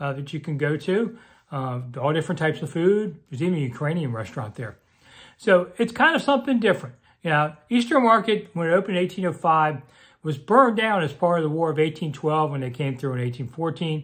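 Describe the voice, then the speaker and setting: Very fast, lively intonation from a man against a quiet background. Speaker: local commentator. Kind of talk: casual vlog chat. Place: home room. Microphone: phone near.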